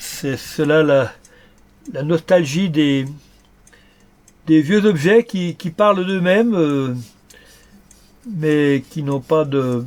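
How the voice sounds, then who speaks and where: Very slow speech from a man, fairly high in pitch, with ordinary pitch variation and long, frequent pauses. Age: 70s. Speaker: antique dealer. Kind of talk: documentary interview. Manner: halting, many repetitions and hesitations.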